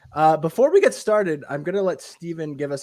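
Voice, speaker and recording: Noticeable background noise sits behind a man talking. He moves at a fairly quick pace with lively intonation. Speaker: podcast host. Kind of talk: casual tech podcast chat. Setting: live stream.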